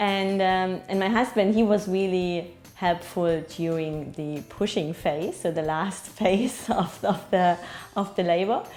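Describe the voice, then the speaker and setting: Over music in the background, a woman with a German accent speaks fairly slowly at a medium pitch with fairly even intonation. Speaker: new mother. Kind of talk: interview testimony.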